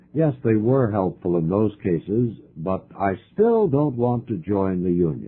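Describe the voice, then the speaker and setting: Fairly low in pitch, a man talks in an unremarkable speaking voice at a fairly slow pace, with lively intonation and hardly any pauses. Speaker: radio broadcaster reading English-teaching material. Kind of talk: scripted dialogue for language learners.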